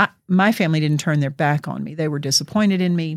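A woman with an American accent speaks at a very deep, low pitch and a fairly quick pace, with ordinary pitch variation, in a very clean recording with a silent background. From US South, Georgia. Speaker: non-profit director. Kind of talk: interview.

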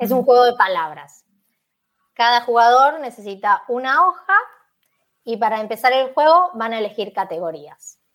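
A woman's high voice with very wide pitch swings and long, frequent pauses. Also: moderate pace. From Buenos Aires, Argentina. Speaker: Spanish teacher. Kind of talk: casual interview.

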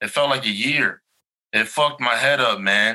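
A man's fairly high voice, bright and sharp in tone, at a moderate pace with an American accent. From Chicago. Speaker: army veteran, social worker. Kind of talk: casual interview.

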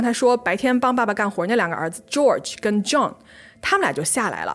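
A woman speaks in an animated tone at a fairly quick pace. Her pitch is fairly high. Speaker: podcast host. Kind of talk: true-crime narration. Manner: animated, conversational storytelling.

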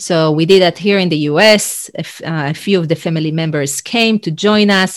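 A woman speaks with an Israeli accent at a moderate pace, with hardly any pauses. Her pitch is fairly low, with ordinary variation. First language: Hebrew. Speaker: leadership and executive coach. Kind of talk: interview. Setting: video call.

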